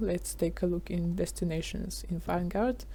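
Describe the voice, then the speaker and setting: A woman talks with a non-native accent. Her pace is fairly slow. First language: not English. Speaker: gaming YouTuber. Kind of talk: tutorial. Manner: halting, many fillers.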